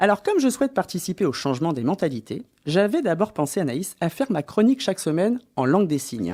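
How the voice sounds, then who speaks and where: The recording is very clean, with a silent background. Words come at a very fast pace. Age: adult, mother. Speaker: radio comedy columnist. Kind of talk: comic radio column.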